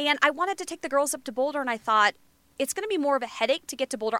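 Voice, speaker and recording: The speaker uses a raised, projected voice with lively intonation at a very fast pace. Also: woman, dry, close sound with no echo. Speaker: meteorologist. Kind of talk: casual banter. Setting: studio audio booth.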